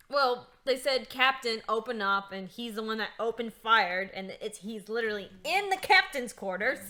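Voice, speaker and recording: A woman with a normal speaking voice talks at a fairly high pitch and a moderate pace, with hardly any pauses. Her intonation is lively and her loudness swings a lot. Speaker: video game player. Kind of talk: casual gaming chat.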